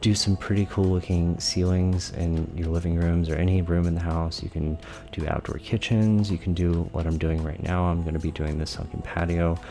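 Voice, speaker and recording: A man is whispering at a moderate pace. Music plays in the background. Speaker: gaming YouTuber. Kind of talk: tutorial commentary. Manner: soft-spoken.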